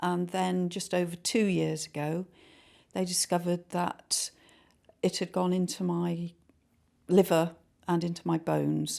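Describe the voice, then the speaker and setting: A woman speaks at a fairly slow pace with a fairly low pitch and a dark, mellow tone, her intonation monotone and flat. Long, frequent pauses stand out in this very clean recording with a silent background. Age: 60s. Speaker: cancer patient. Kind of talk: testimony.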